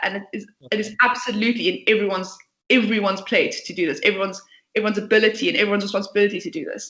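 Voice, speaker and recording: In a passionate tone, a woman with a fairly high pitch talks very fast, using ordinary pitch variation. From South Africa, Port Elizabeth. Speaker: startup founder and CEO. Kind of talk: interview. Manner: talkative, passionate.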